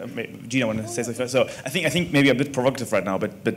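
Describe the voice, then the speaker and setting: With noticeable background noise behind him, a man speaks at a very fast pace with a German accent, medium pitch, and ordinary pitch variation. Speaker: venture investor. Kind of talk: panel discussion.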